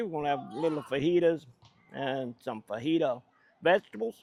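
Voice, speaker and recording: A man with a Louisiana accent speaks with very wide pitch swings in a dry, close sound with no echo. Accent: Southern US (Louisiana, non-Cajun). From US South, central Louisiana, rural. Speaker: cooking channel host. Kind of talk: cooking tutorial. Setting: outdoors. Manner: casual, folksy.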